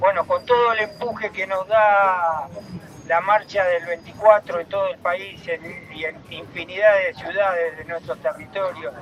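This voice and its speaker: A man with a Rioplatense accent speaks fairly slowly at a high pitch with ordinary pitch variation. Music plays in the background. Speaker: human rights activist. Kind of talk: announcements.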